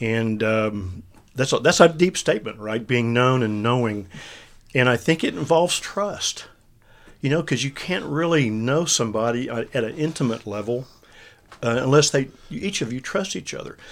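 Speaking with lively intonation at a moderate pace, a medium-pitched man comes through on a very clean recording with a silent background. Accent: Texan. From central Texas. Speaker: ministry leader and former consultant. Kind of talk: casual faith discussion podcast.

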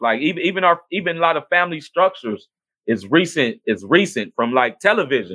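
Using an American accent, a man with a fairly high pitch and vocal fry swings his pitch very widely at a moderate pace. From US Midwest, Cleveland, Ohio. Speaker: podcast host. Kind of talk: casual livestream talk. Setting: home video stream.

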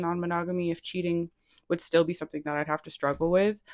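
A woman's fairly low voice with an American accent. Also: very clean recording, silent background. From Rhode Island, US. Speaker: writer and poet. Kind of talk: casual chat.

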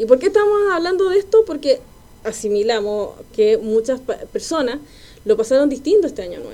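A woman at a fairly quick pace, with very wide pitch swings. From Chile, Quilpué. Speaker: podcast co-host. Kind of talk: casual chat.

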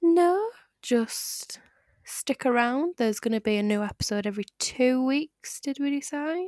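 Lively intonation at a fairly slow pace, with a dry, close sound and no echo. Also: woman, high pitch for a woman. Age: 20s. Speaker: podcast co-host. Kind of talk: casual chat.

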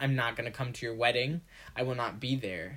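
A man speaks with a bright, sharp, animated tone at a medium pitch. The recording is very clean, with a silent background. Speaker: podcast co-host. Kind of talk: casual chat. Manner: animated, talkative.

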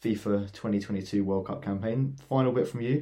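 Dark, mellow tone with an English accent, ordinary pitch variation and a fairly slow pace. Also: man. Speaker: football podcast co-host. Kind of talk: casual chat.

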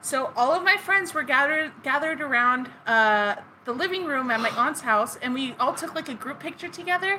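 A raised, projected voice with a bright, sharp tone, lively intonation, a moderate pace and hardly any pauses. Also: woman, high pitch for a woman. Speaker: podcast co-host. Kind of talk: casual chat with scripted story segments.

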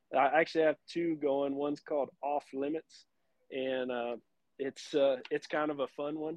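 A man with a Texan accent speaks at a fairly high pitch in a monotone, with flat intonation. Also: moderate pace. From South Texas. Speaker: cattle breeding business owner and podcaster. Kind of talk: casual interview.

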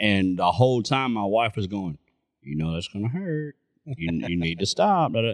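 A man with an unremarkable speaking voice talks at a fairly low pitch and moderate pace, with lively intonation, in a very clean recording with a silent background. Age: 40s. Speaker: podcast co-host. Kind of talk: casual chat.

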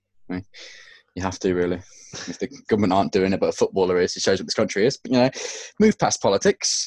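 Speaking very fast in an English accent, a man comes through with a dry, close sound and no echo. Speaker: podcast co-host. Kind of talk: casual chat.

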